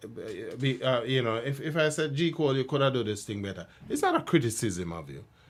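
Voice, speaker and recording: Talking at a fairly quick pace with hardly any pauses, a man with a medium pitch and vocal fry uses lively intonation and big swings in loudness. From Jamaica. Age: 60s. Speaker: cultural commentator. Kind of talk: casual chat. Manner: halting.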